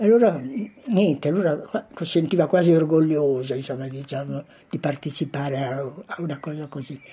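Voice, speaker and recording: A woman with a very deep, low pitch and a dark, mellow, somewhat breathy tone speaks at a moderate pace with ordinary pitch variation, big swings in loudness and long, frequent pauses. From Italy, Correggio. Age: 80s+. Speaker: former partisan. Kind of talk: testimony.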